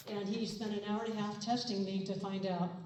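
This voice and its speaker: A woman speaks at medium pitch. The recording has audible room echo and noticeable background noise. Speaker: person with Parkinson's speaking at a walk. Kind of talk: personal testimony speech. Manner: halting, with many fillers.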